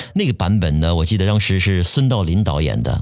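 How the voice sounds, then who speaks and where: A man's very deep, low voice at a fairly quick pace, against noticeable background noise. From Shanghai. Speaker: voice actor and TV sports presenter. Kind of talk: casual chat.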